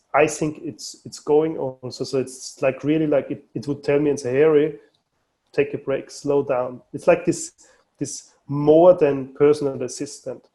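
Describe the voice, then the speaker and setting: A dark, mellow voice in an Austrian accent, fairly slow and monotone, with big swings in loudness. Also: man, fairly high pitch for a man. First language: German. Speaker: mobile phone company manager. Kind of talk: podcast interview. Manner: halting, many repetitions.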